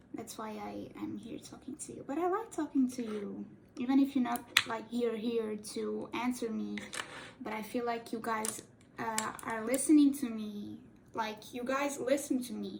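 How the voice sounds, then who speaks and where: Over noticeable background noise, a woman talks at a moderate pace, her loudness swinging widely. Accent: Portuguese. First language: Portuguese. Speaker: cosplay YouTuber. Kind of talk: casual chat while doing makeup tutorial. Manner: halting, self-correcting; talkative.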